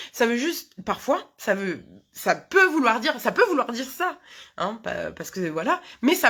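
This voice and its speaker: Recorded very cleanly with a silent background, a woman with a fairly high pitch speaks in a bright, sharp tone, her pitch swinging very widely. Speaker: hypnotherapist. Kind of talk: live talk to viewers. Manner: fast; halting, many fillers.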